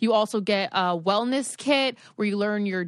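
A woman has a plain, everyday voice with a medium pitch. She speaks at a moderate pace against a quiet background. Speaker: podcast host. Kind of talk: casual chat. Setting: at home.

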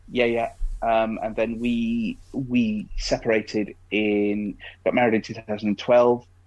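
In an East Midlands accent, a man speaks at a medium pitch and a very slow pace with monotone, flat intonation. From Derbyshire, England. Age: 20s. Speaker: blind podcast guest. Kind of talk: casual interview chat.

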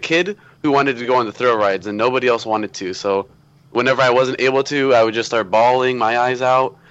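The speech comes very fast. It is delivered in an American accent. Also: man. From Florida, US (Tampa area). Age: young. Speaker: theme park vlogger. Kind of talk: casual chat. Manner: animated.

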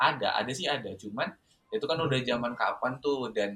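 At a fairly quick pace, a man speaks in a bright, sharp tone with ordinary pitch variation. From Indonesia, Southeast Sulawesi. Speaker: university student and student organizer. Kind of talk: casual interview.

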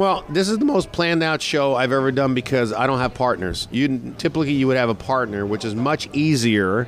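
In an ordinary speaking voice, a man talks at a fairly quick pace with hardly any pauses, his medium pitch carried by lively intonation and his loudness very even. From New York. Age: 50s. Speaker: radio morning show host. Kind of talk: interview. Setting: restaurant and sports bar.

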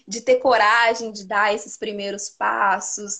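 A woman speaks at a fairly slow pace. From Teófilo Otoni, northeast Minas Gerais, Brazil. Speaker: nutritionist. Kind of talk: casual interview.

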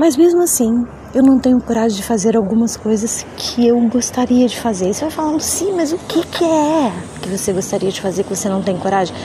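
Over noticeable background noise, a woman's voice swings very widely in pitch. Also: fairly high pitch for a woman, fairly quick pace. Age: 40s. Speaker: podcaster. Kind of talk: personal monologue. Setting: rooftop terrace outdoors.

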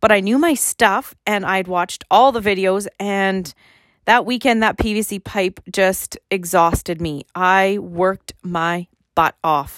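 With a Canadian Prairies accent, a woman of medium pitch speaks at a fairly slow pace with ordinary pitch variation, in a dry, close sound with no echo on a very clean recording with a silent background. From Saskatchewan, Canada. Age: 40s. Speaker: podcast host and gym owner. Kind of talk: casual monologue.

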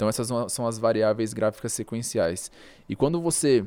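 A man speaks in a medium pitch with lively intonation, an ordinary speaking voice. The recording is very clean, with a silent background. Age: 20s. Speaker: day trader. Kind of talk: casual interview.

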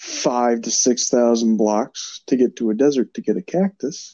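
The man's voice sits at medium pitch, dark and mellow in tone, in a dry, close sound with no echo. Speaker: podcast co-host. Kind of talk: casual chat. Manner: low energy, subdued.

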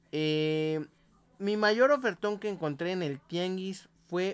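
A man with a Mexican accent speaks in a high voice, his pitch rising and falling in an ordinary way. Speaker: podcast co-host. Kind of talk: casual chat.

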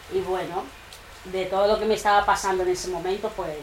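Noticeable background noise sits under this clip. A woman talks with audible room echo. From Equatorial Guinea. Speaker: trap musician. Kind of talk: casual interview.

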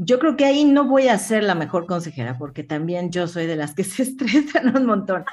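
A woman's medium-pitched voice with very wide pitch swings, a moderate pace and hardly any pauses, over noticeable background noise. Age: 50s. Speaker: business executive. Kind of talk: interview. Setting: live streamed studio show.

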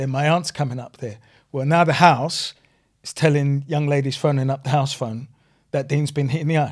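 A man talks at a fairly quick pace with a fairly high, somewhat breathy voice and fairly even intonation. The recording is very clean, with a silent background. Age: 40s. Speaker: community advocate and businessman. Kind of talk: podcast interview.

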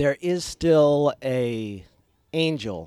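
Captured in a dry, close sound with no echo, a man's fairly high-pitched voice carries a dark, mellow tone. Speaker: podcast host. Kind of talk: casual chat. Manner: joking, does mock radio voice.

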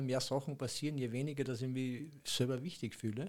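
In an Austrian accent, the voice moves at a moderate pace with a dark, mellow tone and fairly even intonation. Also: man. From Austria, Upper Austria. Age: 60s. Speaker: acupuncture massage therapist. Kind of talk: casual interview.

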